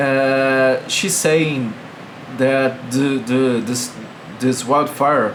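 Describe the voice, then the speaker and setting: A man speaks at a very slow pace with a medium pitch, with noticeable background noise and audible room echo. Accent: Brazilian Portuguese. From Brazil. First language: Portuguese. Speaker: video blogger. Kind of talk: political commentary monologue. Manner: halting.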